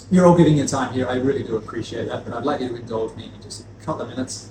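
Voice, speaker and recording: Amid noticeable background noise and audible room echo, a man talks very fast with very wide pitch swings. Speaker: spirits distributor. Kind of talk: lecture.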